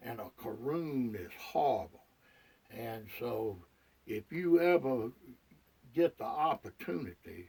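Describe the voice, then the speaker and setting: A man with a Southern US accent speaks very slowly at a medium pitch in a dark, mellow tone, with long, frequent pauses. His voice moves through very wide pitch swings and big swings in loudness. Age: 60s. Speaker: retired hunter. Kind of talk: casual monologue to camera. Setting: outdoors in a deer blind. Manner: halting, repetitive.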